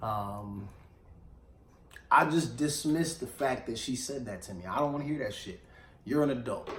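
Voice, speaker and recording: A man with a medium pitch speaks in an animated tone with lively intonation, somewhat breathy, at a moderate pace, his loudness swinging widely amid long, frequent pauses and audible room echo. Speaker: radio show host. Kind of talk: casual chat.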